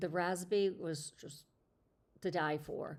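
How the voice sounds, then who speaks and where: A woman's fairly low-pitched, plain, everyday voice at a fairly slow pace, on a very clean recording with a silent background. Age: 50s. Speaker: lifestyle livestream host. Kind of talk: casual chat. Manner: conversational with fillers.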